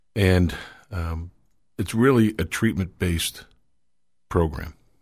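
A somewhat breathy man with an American accent at a fairly slow pace, in a very clean recording with a silent background. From Manchester, New Hampshire, US. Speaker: local political candidate. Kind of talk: radio interview. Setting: radio studio. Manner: halting, many fillers.

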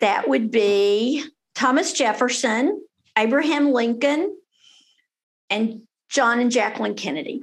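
Speaking at a fairly slow pace with a Texan accent, the voice has lively intonation. Long pauses come often. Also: woman, high pitch for a woman. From Texas, Denton. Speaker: family lawyer. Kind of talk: interview.

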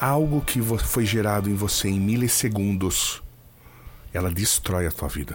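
Music plays in the background as a man speaks at a fairly slow pace. His pitch is fairly low, with lively intonation. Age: 40s. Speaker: brain trainer / coach. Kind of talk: casual interview chat.

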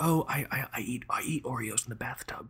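In a quiet, raspy put-on character voice, a man at medium pitch talks fairly slowly over light background noise. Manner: hushed, confessional.

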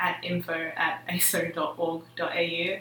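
Here a woman speaks with an Australian accent. Noticeable background noise and audible room echo fill the recording. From Melbourne western suburbs, Australia. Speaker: student organisation leader. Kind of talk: casual chat.

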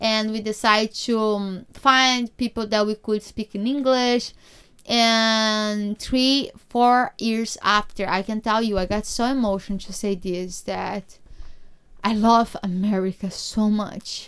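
Spoken at a very slow pace in a Brazilian accent, the voice has fairly even intonation on a very clean recording with a silent background. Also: woman, fairly high pitch for a woman. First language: Portuguese. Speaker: podcast host, immigrant. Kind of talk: casual podcast monologue and interview.

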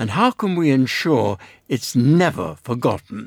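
On a very clean recording with a silent background and a dry, close sound with no echo, a man's pitch swings very widely. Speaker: radio panel host. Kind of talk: panel discussion. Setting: studio.

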